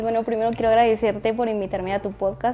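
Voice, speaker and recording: With a Guatemalan accent, a woman speaks in a fairly high, dark, mellow voice with flat, monotone intonation. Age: 20s. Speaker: entrepreneur. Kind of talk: casual interview.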